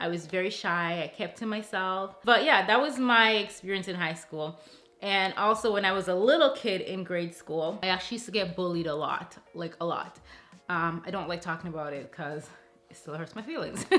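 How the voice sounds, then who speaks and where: With an animated tone, a woman speaks at a moderate pace and a medium pitch. Her pitch varies in an ordinary way. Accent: Jamaican. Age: 30s. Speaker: lifestyle vlogger. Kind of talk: casual Q&A vlog. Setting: alone in a room talking to camera.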